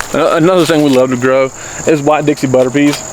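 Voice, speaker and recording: Speaking very fast in a fairly high pitch, a man with a Southern accent is heard over noticeable background noise. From US South, North Carolina Blue Ridge foothills. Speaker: homesteader and gardening channel host. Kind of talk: casual garden tour.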